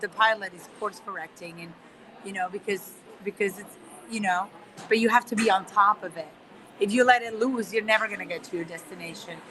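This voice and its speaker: Speaking at a moderate pace, a woman has a fairly high pitch and a Spanish accent. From Spain, Barcelona area. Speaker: guest speaker, trained lawyer. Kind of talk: interview conversation. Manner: many repetitions and fillers.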